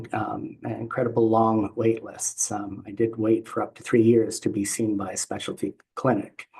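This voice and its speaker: Somewhat breathy and flat, this monotone voice with a Canadian accent moves at a moderate pace with hardly any pauses. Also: man, medium pitch for a man. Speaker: patient representative. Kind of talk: panel presentation. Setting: video call. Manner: halting, many fillers and pauses.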